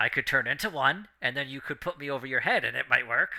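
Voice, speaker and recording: A man puts on a character voice, fairly high in pitch. He talks at a very fast pace. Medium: actual play. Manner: whimsical, wheedling.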